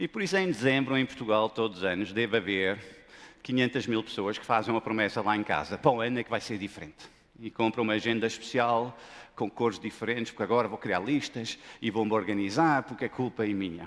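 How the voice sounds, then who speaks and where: A man with a non-native accent, medium pitch, ordinary pitch variation, and a very fast pace. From Lebanon / Denmark. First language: not Portuguese (speaking Portuguese). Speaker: business school professor. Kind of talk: conference talk. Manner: animated.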